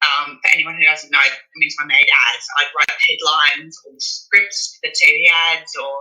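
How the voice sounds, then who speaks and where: A woman with an Australian accent at a moderate pace, her loudness swinging widely. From Australia (Brisbane). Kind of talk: interview. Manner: hesitant.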